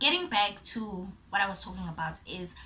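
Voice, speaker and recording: A woman with a South African accent at a fairly slow pace, amid audible room echo. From South Africa, Port Elizabeth. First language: Zulu. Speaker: YouTuber. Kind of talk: casual vlog. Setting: home recording.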